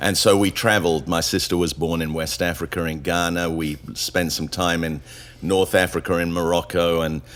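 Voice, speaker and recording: A man with a very deep, low pitch talks at a moderate pace, his intonation fairly even. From England (raised from age five, public school). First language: Spanish. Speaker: pastor. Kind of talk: casual chat.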